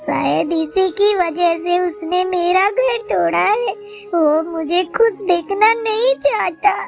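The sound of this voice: In a cartoonish character voice, a woman speaks slowly at an extremely high pitch with vocal fry and ordinary pitch variation, while faint music plays behind her.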